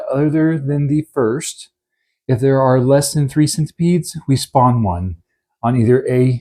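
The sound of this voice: An unforced reading voice is heard, and the background is quiet.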